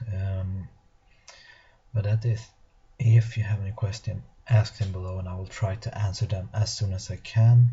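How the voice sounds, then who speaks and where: Somewhat breathy and fairly even in intonation, a man talks at a moderate pace. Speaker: tabletop wargaming youtuber. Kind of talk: battle report commentary. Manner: halting with many fillers.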